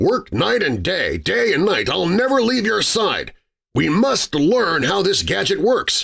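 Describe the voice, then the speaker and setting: In a put-on character voice, a man talks high and fairly slowly, his loudness very even throughout. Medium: read story. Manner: eager, scheming.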